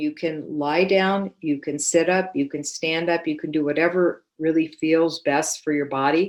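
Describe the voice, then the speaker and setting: A woman with a normal speaking voice, fairly low pitch, fairly even intonation and a moderate pace, in a very clean recording with a silent background. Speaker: iRest Yoga Nidra practitioner and trainer. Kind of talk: interview answer explaining a practice.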